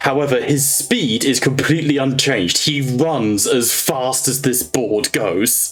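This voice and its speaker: A man talks fairly slowly while music sounds behind him. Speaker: game master. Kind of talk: role-play game session.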